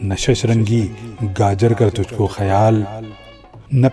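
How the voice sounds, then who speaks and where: A man of medium pitch talks while music runs in the background. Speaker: radio and TV presenter, poet. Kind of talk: poetry reading.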